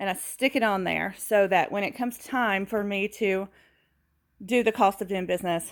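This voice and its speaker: A woman with a Southern US accent speaks at a moderate pace and medium pitch with ordinary pitch variation, on a very clean recording with a silent background and dry, close sound with no echo. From US South. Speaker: furniture refinisher and video host. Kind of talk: tutorial. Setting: home studio and garage. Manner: casual with fillers.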